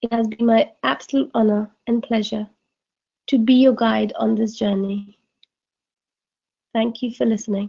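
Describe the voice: Reading at a fairly slow pace with long, frequent pauses, a woman uses a fairly high pitch with little pitch movement, a dark, mellow tone and vocal fry.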